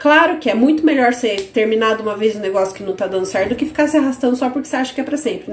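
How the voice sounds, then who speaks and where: Against noticeable background noise, a woman speaks very fast at a high pitch in an animated tone. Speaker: business course teacher. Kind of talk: online live class.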